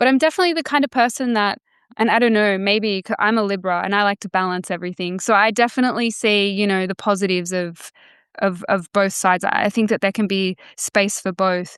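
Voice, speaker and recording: Very fast and medium-pitched, a woman talks with an Australian accent and ordinary pitch variation. The background is quiet, and the sound is dry and close with no echo. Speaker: author. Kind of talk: podcast interview. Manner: halting, many fillers.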